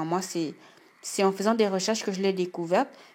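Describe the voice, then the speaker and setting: Heard against a silent background in a very clean recording, the speaker has a Gabonese accent and ordinary pitch variation. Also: woman. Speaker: beauty YouTuber. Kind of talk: tutorial. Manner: casual, some hesitations.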